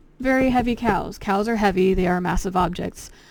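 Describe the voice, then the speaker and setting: A woman talks at a moderate pace. Her voice has vocal fry. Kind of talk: children's book read-aloud. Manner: casual, rambling.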